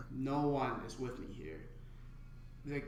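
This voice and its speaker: Audible room echo and noticeable background noise around a man speaking at a moderate pace. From China. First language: Mandarin Chinese. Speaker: stand-up comedian. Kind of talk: casual podcast interview. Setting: comedy club room. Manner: stutter.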